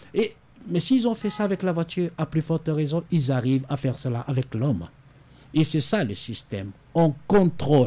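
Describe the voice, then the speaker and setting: Lively intonation colors a man's fairly high-pitched voice, which has a dark, mellow tone and a moderate pace. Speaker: pastor. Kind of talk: radio interview. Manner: halting.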